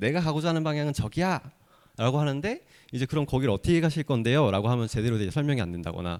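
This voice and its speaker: Over a silent background in a very clean recording, a man talks at a very fast pace with very wide pitch swings. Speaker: accelerator investment team lead. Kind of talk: conference talk.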